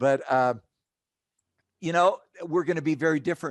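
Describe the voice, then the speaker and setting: In a dry, close recording with no echo and a quiet background, a man talks at a moderate pace with an American accent and ordinary pitch variation. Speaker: HR professor and consultant. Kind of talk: podcast interview.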